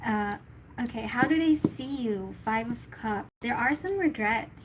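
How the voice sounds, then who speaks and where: Using an ordinary speaking voice, a woman talks at a fairly slow pace and fairly high pitch with ordinary pitch variation. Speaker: tarot reader. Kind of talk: tarot reading livestream.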